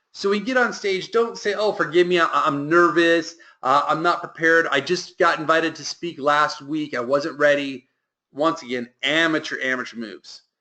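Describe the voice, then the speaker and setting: An animated man with a bright, sharp tone speaks fairly high with ordinary pitch variation against a quiet background. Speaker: business coach. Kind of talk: mastermind group call. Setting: conference call. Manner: fast.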